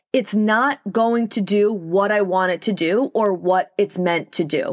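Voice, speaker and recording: A woman with a New York accent speaks in an animated tone at a medium pitch and a fairly slow pace. Her loudness stays very even on a very clean recording with a silent background. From New York, Long Island. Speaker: podcast host, holistic nutritionist. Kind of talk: solo podcast monologue. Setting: recording alone in a closet.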